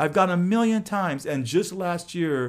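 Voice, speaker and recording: A man with a Californian accent, an animated tone and lively intonation, at a fairly slow pace, on a very clean recording with a silent background. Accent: Californian American English. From Los Angeles. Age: 60s. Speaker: podcast host, former high school teacher. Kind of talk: casual interview chat. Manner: animated, repetitive false starts.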